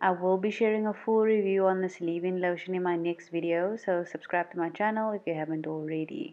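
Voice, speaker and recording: Speaking at a fairly quick clip with hardly any pauses, this voice carries a South African accent and ordinary pitch variation over music in the background. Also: woman, medium pitch for a woman. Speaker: beauty YouTuber. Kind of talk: voiceover tutorial.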